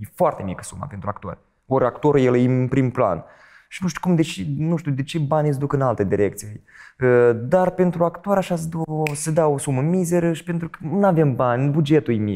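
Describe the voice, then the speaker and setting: Fairly quick delivery with a dark, mellow tone and lively intonation. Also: man, fairly high pitch for a man. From Moldova. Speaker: stage actor and TV presenter; stage actor, TV presenter. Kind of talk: interview. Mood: calm, reflective. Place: studio.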